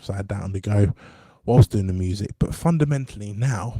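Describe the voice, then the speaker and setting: In an English accent, a man speaks with a dark, mellow tone at a fairly low pitch, somewhat breathy, in a dry, close sound with no echo. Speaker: musician and podcaster. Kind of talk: casual monologue. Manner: hesitant, many fillers.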